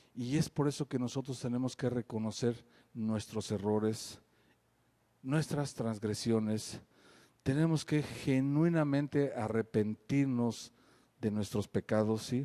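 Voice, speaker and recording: Speaking at a very slow pace, a man with a medium pitch and ordinary pitch variation has a dark, mellow tone, very even loudness, and a dry, close sound with no echo. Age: 60s. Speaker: pastor. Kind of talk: sermon.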